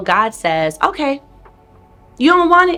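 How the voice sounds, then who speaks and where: A woman's voice moves through very wide pitch swings with music in the background. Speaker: business coach and money educator. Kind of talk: motivational talk to camera. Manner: energetic, upbeat.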